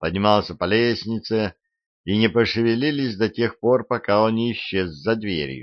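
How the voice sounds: The intonation stays fairly even in a natural reading voice. Nothing much stirs in the quiet background.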